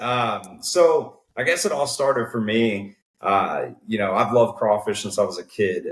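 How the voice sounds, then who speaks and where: The speaker is a man. He talks with a Texan accent. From Texas, Conroe near Houston. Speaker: cook-off organization co-founder. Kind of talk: casual interview.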